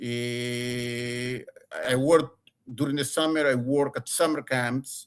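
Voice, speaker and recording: A man speaks at a medium pitch with an Argentine accent. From Argentina. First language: Spanish. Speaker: former lawyer. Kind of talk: interview. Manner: halting, many repetitions; passionate.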